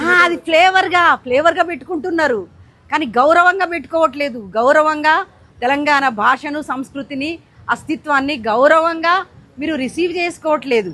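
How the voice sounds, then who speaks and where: A woman's raised, projected voice, high in pitch and bright and sharp in tone, with ordinary pitch variation, a Telangana accent and a quiet background. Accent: Telangana Telugu. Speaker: writer. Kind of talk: interview answer. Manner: passionate, indignant.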